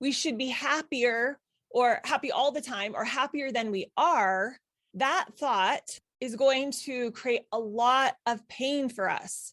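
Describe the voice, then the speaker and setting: Against a quiet background, a woman speaks at a high pitch and a fairly slow pace with ordinary pitch variation. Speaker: parenting coach and podcast host. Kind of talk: recorded live workshop talk. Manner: warm, conversational.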